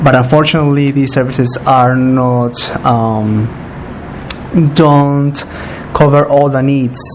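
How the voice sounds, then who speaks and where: Monotone, flat intonation at a very slow pace, with noticeable background noise. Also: man. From Peru. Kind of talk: interview answer.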